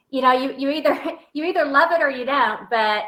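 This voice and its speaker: A woman speaks at a very fast pace with a Southern accent. Her tone is bright and sharp. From Texas. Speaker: motivational speaker and author. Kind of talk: interview. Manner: sassy, colorful storytelling.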